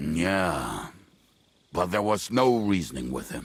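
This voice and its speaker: Putting on a character voice, a man growls in a very deep, low pitch with lively intonation. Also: fairly slow pace. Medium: video game. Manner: blunt, coarse.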